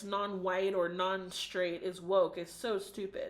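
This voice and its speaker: At a very slow pace, a woman with an American accent speaks at a medium pitch. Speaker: book reviewer. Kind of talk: video book review monologue. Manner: casual, with frequent fillers.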